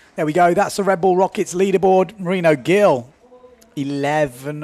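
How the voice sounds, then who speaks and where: A man speaks in a high pitch. There is noticeable background noise. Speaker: windsurf event commentator. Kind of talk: live commentary. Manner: animated.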